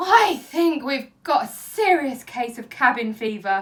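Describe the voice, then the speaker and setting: Using a put-on character voice, a woman speaks fairly slowly in a high pitch with very wide pitch swings and big swings in loudness. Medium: read story. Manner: harried, exasperated.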